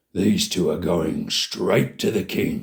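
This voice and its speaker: In a put-on character voice, a man growls in a raspy tone at a very slow pace. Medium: read story. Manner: snarling, mocking.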